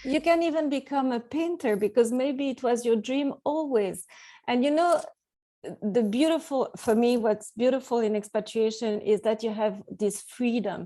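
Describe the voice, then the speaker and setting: Speaking at a moderate pace, a woman has a high pitch, a dark, mellow tone and ordinary pitch variation. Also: quiet background. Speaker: expat coach and author. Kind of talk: interview. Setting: call.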